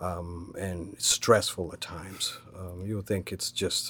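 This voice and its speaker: Monotone, flat intonation defines this man's delivery. The recording is very clean, with a silent background. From Kenya. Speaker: restaurant owner. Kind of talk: interview. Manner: halting.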